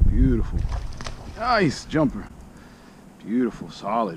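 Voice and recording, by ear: A man with a fairly low pitch speaks slowly. His voice makes very wide pitch swings.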